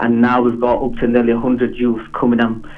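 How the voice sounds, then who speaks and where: The speech comes at a very fast pace in a Yorkshire accent. Audible room echo and music in the background are present. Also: man. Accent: Bradford. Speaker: community football club founder. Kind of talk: phone interview. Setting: phone call. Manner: halting.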